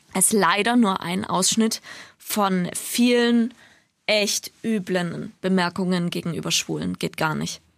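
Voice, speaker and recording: Very slow speech in a very clean recording with a silent background. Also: woman. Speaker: radio podcast co-host. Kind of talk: casual chat.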